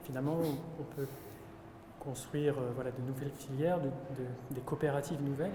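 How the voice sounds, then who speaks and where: Amid noticeable background noise and audible room echo, a man with a fairly high pitch speaks at a fairly quick pace with fairly even intonation. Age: 30s. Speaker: farmer and youtuber. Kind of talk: conversation with a politician. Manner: hesitant.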